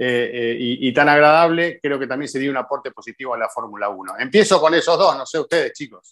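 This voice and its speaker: Talking in an Argentine accent over a quiet background, a man uses a fairly high pitch and ordinary pitch variation at a fairly quick pace with hardly any pauses. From Argentina. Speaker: motorsport show host. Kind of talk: casual chat. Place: home room. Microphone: video call.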